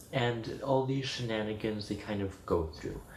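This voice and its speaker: A somewhat breathy man's voice with ordinary pitch variation and audible room echo. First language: Spanish. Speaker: video blogger. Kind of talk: casual chat.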